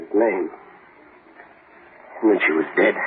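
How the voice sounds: A put-on character voice with a husky, rough edge. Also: man, low pitch for a man, ordinary pitch variation, fairly slow pace.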